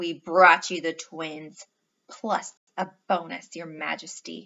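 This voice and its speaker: Putting on a growling character voice, a woman speaks at a fairly slow pace in a fairly low pitch. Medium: read story. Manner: scornful, growling.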